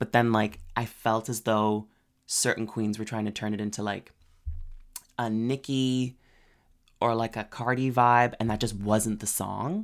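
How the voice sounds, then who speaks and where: Someone with a Canadian accent speaks in an animated tone at a fairly slow pace, with long, frequent pauses. The recording is very clean, with a silent background. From Canada. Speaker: drag queen podcast co-host. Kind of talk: casual chat; interview.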